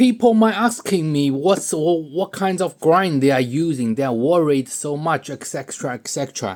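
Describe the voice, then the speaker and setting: At a moderate pace and with hardly any pauses, someone with a non-native accent speaks in a very clean recording with a silent background. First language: not English. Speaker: pen hobbyist video maker. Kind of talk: tutorial. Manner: halting, repeats words; casual, joking.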